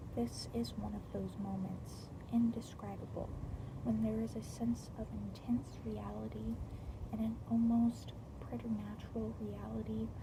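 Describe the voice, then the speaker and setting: Noticeable background noise runs through the clip. The speech comes at a fairly slow pace. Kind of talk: book reading. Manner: stuttering, slurred, slow.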